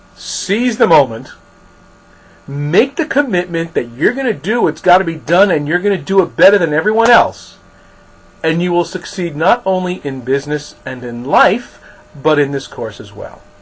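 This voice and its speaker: With a New York accent, a man speaks at a moderate pace in a high pitch that makes very wide swings. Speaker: college instructor. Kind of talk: recorded lecture.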